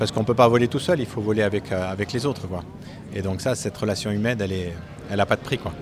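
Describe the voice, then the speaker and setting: Over noticeable background noise, a man talks very fast with ordinary pitch variation, broken by long, frequent pauses. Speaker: aircraft factory worker and pilot. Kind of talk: interview testimony.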